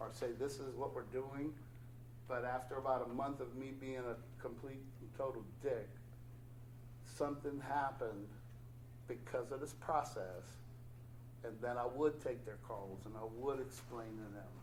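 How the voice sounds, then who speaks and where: A man's medium-pitched voice with vocal fry, fairly even intonation, a moderate pace and long, frequent pauses, in audible room echo. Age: 60s. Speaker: recovering addict, meeting speaker. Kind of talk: testimony at recovery meeting.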